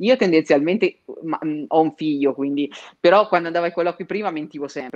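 This woman talks at a fairly quick pace in a very deep, low pitch. Her intonation is lively, and the sound is dry and close with no echo. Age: 30s. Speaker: career trainer and recruiter. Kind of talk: interview. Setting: home, remote livestream.

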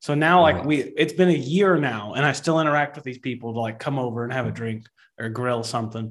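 This man talks at a very fast pace with a Texan accent. His pitch is medium, with ordinary pitch variation. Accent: Texan, Southern US. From Texas. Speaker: podcast co-host. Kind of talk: casual interview conversation.

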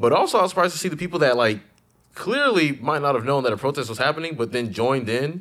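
Talking at a very fast pace, a man uses lively intonation. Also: fairly high pitch for a man. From Ghana. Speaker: podcast host. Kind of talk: casual chat.

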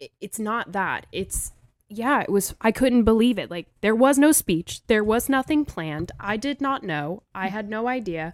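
At a moderate pace, a woman with an unremarkable speaking voice and lively intonation talks at a fairly high pitch in a very clean recording with a silent background and a dry, close sound with no echo. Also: big swings in loudness. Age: 30s. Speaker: hairstylist and educator. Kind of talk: casual chat. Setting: studio.

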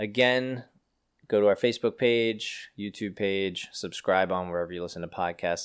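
In a very clean recording with a silent background, a man with an American accent speaks at a moderate pace in an unremarkable speaking voice, fairly low in pitch, with ordinary pitch variation. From Pennsylvania. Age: 30s. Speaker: podcast host. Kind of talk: casual chat.

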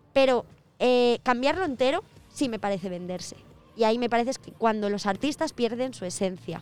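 An ordinary speaking voice from a woman, fairly high in pitch, fairly quick, with lively intonation and big swings in loudness. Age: 20s. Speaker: guest co-presenter. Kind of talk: casual chat.

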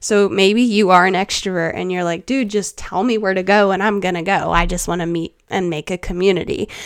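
A woman talks at a fairly quick pace with hardly any pauses. Her medium-pitched voice holds a fairly even intonation. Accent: South Carolina. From US South, Charleston, South Carolina. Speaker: podcast host and life coach. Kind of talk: casual advice chat.

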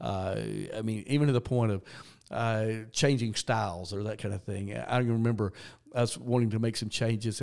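A man with a Southern US accent speaks at a fairly quick pace in a medium pitch with ordinary pitch variation, on a very clean recording with a silent background. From US South, Georgia. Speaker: retired senior pastor, now develops pastors. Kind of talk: interview conversation.

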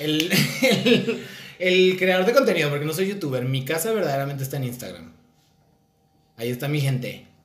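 Audible room echo surrounds a man with a fairly high pitch and lively intonation. He talks at a moderate pace, with long, frequent pauses. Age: 30s. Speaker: podcast host and content creator. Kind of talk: casual chat.

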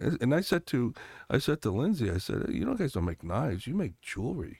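Medium-pitched male voice with vocal fry and very wide pitch swings, at a fairly quick pace, in a very clean recording with a silent background. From Connecticut, US. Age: 60s. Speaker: congressional candidate. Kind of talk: interview conversation.

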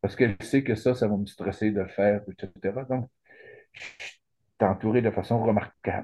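Fairly low in pitch, a man talks at a moderate pace in a dark, mellow tone, with fairly even intonation and long, frequent pauses. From Quebec, Saguenay–Lac-Saint-Jean. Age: 60s. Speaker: retired lawyer, cancer patient. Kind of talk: interview. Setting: video call. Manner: halting.

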